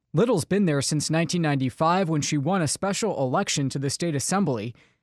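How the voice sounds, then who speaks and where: A man talks at a very fast pace with lively intonation and a fairly high pitch. The sound is dry and close with no echo, over a quiet background. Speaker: radio news director. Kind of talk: scripted narration.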